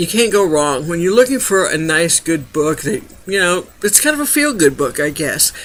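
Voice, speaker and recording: The voice is raised and projected, delivered at a moderate pace. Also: man. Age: 60s. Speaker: book reviewer. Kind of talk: book review monologue. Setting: home webcam recording at night. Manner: casual, hesitant with fillers.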